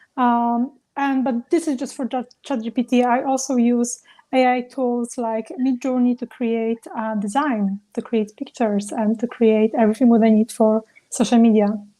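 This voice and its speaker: A woman speaks in a high voice with a non-native accent and a dark, mellow tone. Her intonation stays fairly even, and the sound is dry and close with no echo. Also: moderate pace. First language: not English. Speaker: travel business founder. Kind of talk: panel discussion.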